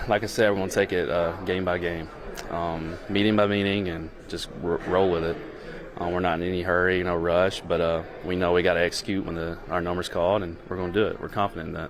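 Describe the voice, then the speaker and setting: A man with a Southern accent, a very deep, low pitch and a monotone, flat intonation at a very fast pace, with noticeable background noise and audible room echo. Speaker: pro football player. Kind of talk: press conference answers. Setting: press conference. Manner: halting, many fillers.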